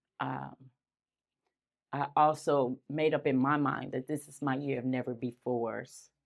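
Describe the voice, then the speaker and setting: A woman's very deep, low voice with vocal fry, flat monotone intonation, big swings in loudness, a fairly slow pace and long, frequent pauses. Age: 60s. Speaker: community facilitator speaking at a neighborhood meeting. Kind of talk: community talk. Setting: standing in front of an audience.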